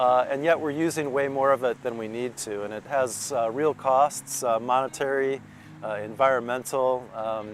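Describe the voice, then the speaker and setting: Over music in the background, a man with an American accent talks at a moderate pace, his medium pitch showing ordinary variation. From Minnesota, US Midwest. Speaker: professor and writer. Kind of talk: interview monologue. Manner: frequent fillers and self-corrections.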